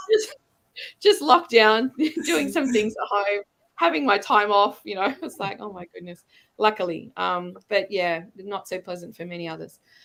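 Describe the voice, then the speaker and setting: With an Australian accent, a woman speaks at a moderate pace and a medium pitch, her intonation lively and her loudness swinging widely. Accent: Australian, back after years abroad. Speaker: international school educator. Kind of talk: casual interview chat. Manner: hesitant, many fillers.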